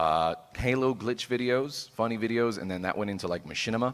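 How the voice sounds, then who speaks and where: A man talks with ordinary pitch variation. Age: 20s. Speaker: streamer, panel moderator. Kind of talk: panel discussion. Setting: stage with audience.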